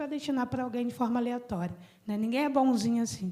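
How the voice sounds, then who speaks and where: A high-pitched woman's voice with ordinary pitch variation, in audible room echo. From Brazil, Petrópolis (Rio de Janeiro state). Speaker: environmental activist and speaker. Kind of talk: conference talk. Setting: conference panel with audience.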